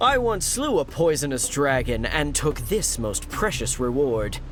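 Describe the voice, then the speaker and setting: Using a put-on character voice, a man talks at a moderate pace. Background noise is clearly heard. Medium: video game. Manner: pompous, declamatory, rhyming.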